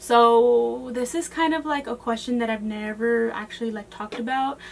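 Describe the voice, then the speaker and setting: A woman with an American accent, fairly high pitch, ordinary pitch variation and a moderate pace. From Texas, San Antonio area. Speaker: beauty vlogger. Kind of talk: casual Q&A chat to camera. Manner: casual, filler-heavy (um, like).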